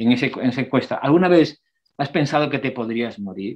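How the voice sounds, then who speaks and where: In an unremarkable speaking voice, a man talks fairly quickly at a medium pitch with ordinary pitch variation. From outside Spain. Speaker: palliative care doctor, geriatrician. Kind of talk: lecture.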